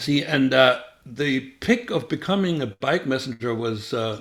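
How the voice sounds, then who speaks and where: Speaking in a German accent, a man lets his pitch make very wide swings. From Germany. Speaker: former spy. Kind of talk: interview. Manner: halting, many fillers.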